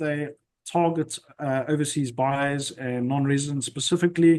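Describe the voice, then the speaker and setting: A man with an ordinary speaking voice keeps his intonation fairly even. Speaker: property investment webinar host. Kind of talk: webinar presentation.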